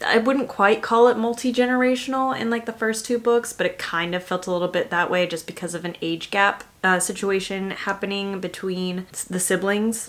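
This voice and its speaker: A woman talks at a moderate pace and medium pitch with ordinary pitch variation and hardly any pauses, over noticeable background noise. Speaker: book reviewer. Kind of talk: casual chat.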